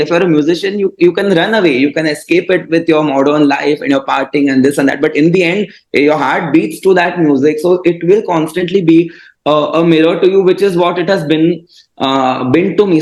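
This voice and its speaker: With a Marathi accent, a man speaks at a fairly quick pace. His pitch is high. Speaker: classical vocalist and mental health advocate. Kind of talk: interview conversation. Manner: hesitant, many fillers.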